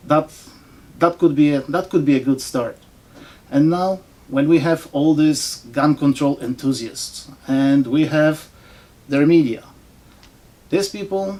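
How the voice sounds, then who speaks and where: The speaker, with a non-native accent, talks at a fairly slow pace and leaves long, frequent pauses. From foreign-born, not US. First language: not English. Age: old. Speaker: political commentator vlogger. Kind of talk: opinion monologue. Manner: sarcastic.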